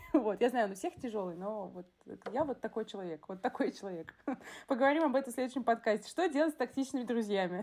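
A woman talks at a very fast pace with a fairly high pitch and lively intonation. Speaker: teacher in education, podcast co-host. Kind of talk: casual chat. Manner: blunt, abrupt.

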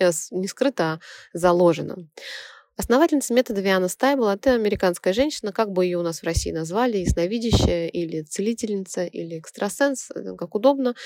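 A woman with an unremarkable speaking voice and a medium pitch talks at a fairly quick pace with lively intonation, in a dry, close sound with no echo. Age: 30s. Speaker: radio host and theta healing instructor. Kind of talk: radio talk monologue.

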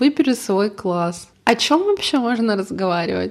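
A woman speaks with a fairly high pitch. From Russia, Yoshkar-Ola (Volga region). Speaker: podcast co-host. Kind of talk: casual chat.

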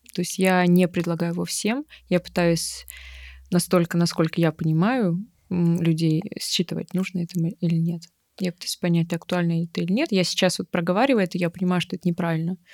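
A woman has an ordinary speaking voice, fairly low-pitched, with fairly even intonation at a fairly quick pace. The sound is dry and close with no echo, on a very clean recording with a silent background. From Siberia, Irkutsk region (Bratsk). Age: 30s. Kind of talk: therapy consultation.

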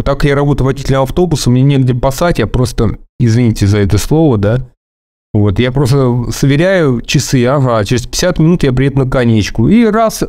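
A man at a medium pitch with a dark, mellow tone and lively intonation, at a moderate pace. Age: 30s. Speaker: bus driver. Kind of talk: personal testimony. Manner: halting.

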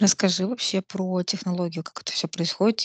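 Recorded with a dry, close sound and no echo, a woman with a medium pitch and an ordinary speaking voice talks at a fairly quick pace. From Russia, Nizhny Novgorod. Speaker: podcast host. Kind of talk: casual interview.

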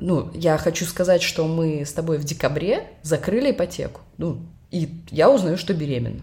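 In a dark, mellow tone with vocal fry, a woman speaks at a fairly low pitch and moderate pace with ordinary pitch variation. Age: 30s. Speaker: podcast co-host, bank manager on maternity leave. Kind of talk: casual chat.

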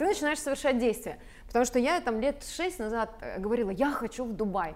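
A woman's voice is high in pitch. She talks at a moderate pace with lively intonation. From Belarus, rural village. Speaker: sales mentor and entrepreneur. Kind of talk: talk show conversation.

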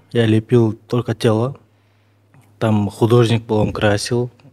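A man talks at a very slow pace. His tone is dark and mellow, at a medium pitch. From Kyrgyzstan, Naryn. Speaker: sculptor. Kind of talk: interview.

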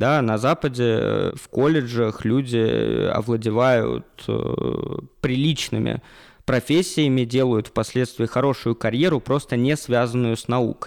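It is an ordinary speaking voice with fairly even intonation. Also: man, medium pitch for a man, fairly slow pace, very clean recording, silent background. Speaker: university lecturer. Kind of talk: interview. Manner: formal.

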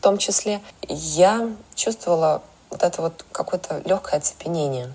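Over noticeable background noise, a woman speaks at a moderate pace in a fairly low pitch with ordinary pitch variation. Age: 30s. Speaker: makeup artist and stylist. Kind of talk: personal story.

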